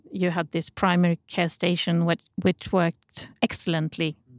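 In a Swedish accent, a woman speaks at a moderate pace with fairly even intonation, the very clean recording dry and close with no echo and a silent background. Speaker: healthcare journalist. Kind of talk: interview. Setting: studio. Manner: halting.

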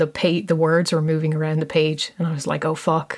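At a very fast pace, a woman speaks with a fairly low pitch. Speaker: podcast host. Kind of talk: casual interview conversation. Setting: video call from London. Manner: hesitant, self-correcting.

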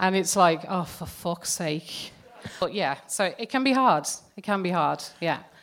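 A woman with an English accent, medium in pitch, with ordinary pitch variation. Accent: English-sounding accent despite being Irish. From Ireland, raised partly in England. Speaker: psychologist and lecturer. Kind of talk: interview. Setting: live stage with audience. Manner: animated.

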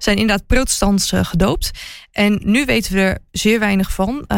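The recording is very clean and the background silent. A woman's speech moves at a moderate pace. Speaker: royalty reporter and TV presenter. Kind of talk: casual chat.

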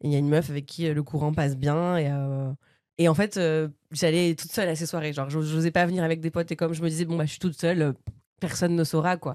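On a very clean recording with a silent background, a woman with a very deep, low pitch and a dark, mellow tone talks at a very fast pace with fairly even intonation. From Normandy, France (Bernay). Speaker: comedian. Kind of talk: casual chat.

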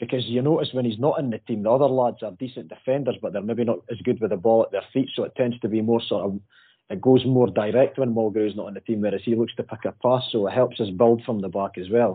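A man talks in a Dundee accent. His pace is very fast. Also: medium pitch for a man, ordinary pitch variation, hardly any pauses. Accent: Scottish (Dundee). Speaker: football fan guest. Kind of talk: casual chat.

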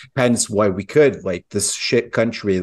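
A man with a Swedish accent and fairly even intonation, over a quiet background. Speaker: podcast co-host. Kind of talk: casual discussion.

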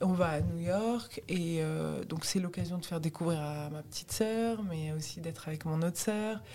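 In a normal speaking voice with ordinary pitch variation, the speech goes at a fairly slow pace with hardly any pauses. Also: woman, fairly low pitch for a woman. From Tunisian heritage, raised in France. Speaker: stand-up comedian. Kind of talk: casual interview chat.

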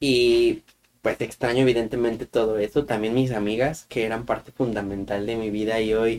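A man with a central Mexican accent, medium pitch, moderate pace and fairly even intonation. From Mexico, Guanajuato. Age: 20s. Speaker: podcast co-host. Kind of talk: casual chat.

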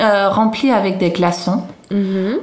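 Someone speaks in a Dutch accent, with audible room echo and noticeable background noise. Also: woman. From Netherlands, Haarlem. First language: Dutch (speaking French). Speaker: Dutch expatriate guest. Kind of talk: casual food interview. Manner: halting.

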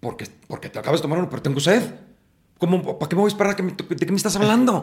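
Speaking at a very fast pace, a man talks with vocal fry. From Mexico City. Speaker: actor and playwright. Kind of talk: casual interview. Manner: animated.

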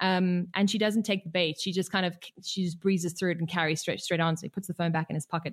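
A woman speaks at a very fast pace in a medium pitch. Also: dry, close sound with no echo. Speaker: documentary filmmaker. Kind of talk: interview.

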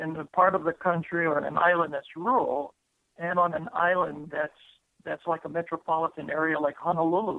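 A high-pitched man speaks at a moderate pace. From Hawaii, Molokai. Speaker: retired army officer. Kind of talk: interview. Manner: halting.

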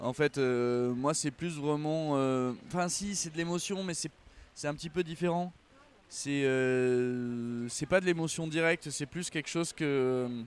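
A man with a fairly high pitch for a man speaks at a very slow pace. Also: ordinary pitch variation. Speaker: musician. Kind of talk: casual chat. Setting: outdoors.

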